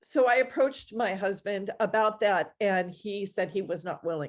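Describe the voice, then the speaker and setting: In a quiet background, a woman of medium pitch talks at a fairly slow pace with ordinary pitch variation. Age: 60s. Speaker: summit speaker sharing divorce story. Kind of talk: personal testimony. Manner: halting, many fillers.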